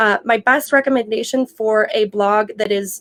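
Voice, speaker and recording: With a fairly high pitch and fairly even intonation, a woman speaks in a dry, close sound with no echo. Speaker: digital marketing consultant. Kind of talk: webinar presentation. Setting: online webinar. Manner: fast.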